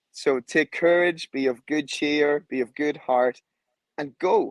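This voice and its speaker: A man with an Irish accent speaks in a passionate tone at a fairly high pitch, with ordinary pitch variation. The sound is dry and close, with no echo. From Ireland. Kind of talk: interview.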